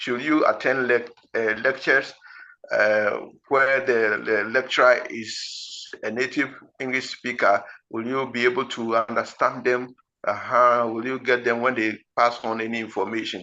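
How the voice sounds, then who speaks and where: With a Ghanaian accent, a man speaks at medium pitch and a fairly slow pace, his tone bright and sharp and his intonation monotone and flat. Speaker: IELTS teacher. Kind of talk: lecture. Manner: slow, deliberate; halting.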